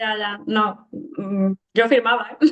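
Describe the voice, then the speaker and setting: A woman at a medium pitch uses a plain, everyday voice with fairly even intonation. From Granada, Andalusia, Spain. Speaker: interviewer, podcast host. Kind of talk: casual interview chat.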